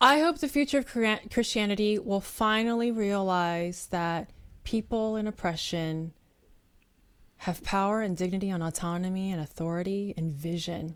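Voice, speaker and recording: A woman with an American accent speaks at a medium pitch with lively intonation in a very clean recording with a silent background. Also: moderate pace. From US West Coast, San Francisco Bay Area. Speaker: nonprofit founder and storyteller. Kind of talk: interview conversation.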